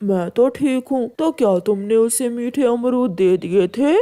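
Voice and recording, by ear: A cartoonish character voice, female-sounding, at a moderate pace. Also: fairly high pitch for a woman.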